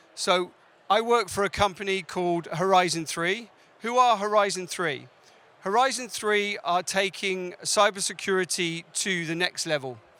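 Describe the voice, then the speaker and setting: A man speaks in a raised, projected voice with a British accent, pitched high for a man. His tone is bright and sharp, with ordinary pitch variation at a moderate pace. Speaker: cybersecurity sales director. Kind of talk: conference talk. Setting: stage with audience.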